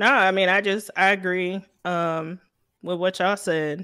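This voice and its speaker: Bright and sharp in tone, a woman's voice keeps a fairly even intonation in a very clean recording with a silent background. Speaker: podcast co-host. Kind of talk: casual chat.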